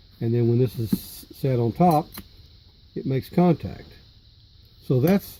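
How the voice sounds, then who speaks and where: A man speaks with lively intonation at a fairly high pitch. His tone is dark and mellow, and somewhat breathy. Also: long, frequent pauses. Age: 70s. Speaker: electronics hobbyist. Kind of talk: tutorial. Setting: home workshop. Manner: halting, with fillers and repeated words.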